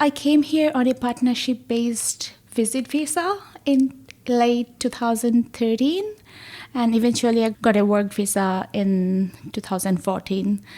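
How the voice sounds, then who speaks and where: A woman with a Bengali accent speaks at a fairly slow pace in a dark, mellow tone. Her pitch is fairly high, with ordinary pitch variation. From Bangladesh. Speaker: research associate in plant science. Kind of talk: podcast interview.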